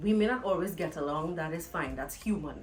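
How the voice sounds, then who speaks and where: Speaking in a Trinidadian accent at a moderate pace, the voice sounds animated with ordinary pitch variation. Music plays in the background and room echo is audible. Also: woman. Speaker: vlogger. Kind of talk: casual vlog monologue. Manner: loud.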